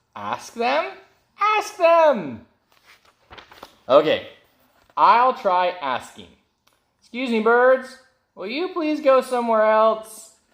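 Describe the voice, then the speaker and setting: In a put-on character voice, a man speaks at an extremely high pitch and a very slow pace. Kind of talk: children's picture-book read-aloud. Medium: read story. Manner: anxious, easily alarmed.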